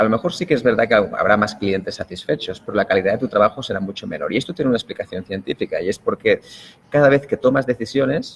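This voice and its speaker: The man talks at a very fast pace, with a dry, close sound and no echo. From Spain. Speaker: productivity expert. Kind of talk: interview.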